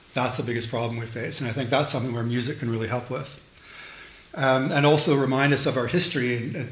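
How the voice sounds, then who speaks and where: A man's medium-pitched voice, monotone and flat, at a very fast pace, with audible room echo and noticeable background noise. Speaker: lecturer and sound artist. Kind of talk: lecture. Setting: lecture hall with audience.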